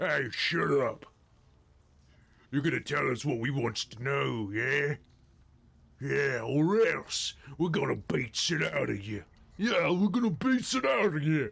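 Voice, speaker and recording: Using a put-on character voice, a man speaks at a fairly high pitch and a fairly slow pace with long, frequent pauses. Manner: threatening, aggressive.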